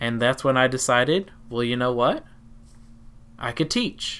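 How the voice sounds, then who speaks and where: On a very clean recording with a silent background, a man with a Southern US accent speaks at a moderate pace. His medium-pitched voice is bright and sharp, with ordinary pitch variation. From Tennessee. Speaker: teacher and podcast host. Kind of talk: personal storytelling, podcast narration.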